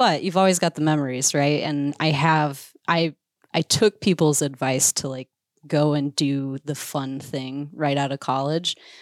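A woman's very deep, low voice at a fairly slow pace, fairly even in intonation, dry and close with no echo in a very clean recording against a silent background. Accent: American. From Iowa. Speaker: conservation communicator and bird hunter. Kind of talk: casual interview chat.

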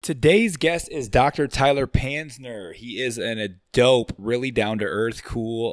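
A plain, everyday voice from a man with an American accent, ordinary pitch variation, and a very clean recording with a silent background. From Michigan. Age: 30s. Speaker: podcast host. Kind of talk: casual chat.

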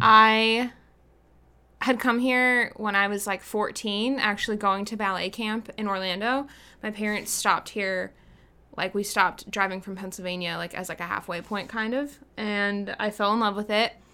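Speaking with an American accent, a woman has a bright, sharp tone at a medium pitch, with fairly even intonation and a moderate pace. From Pittsburgh, US. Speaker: social media manager. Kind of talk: casual interview.

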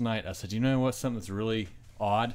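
A man speaks with fairly even intonation. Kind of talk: casual chat. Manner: laughs often.

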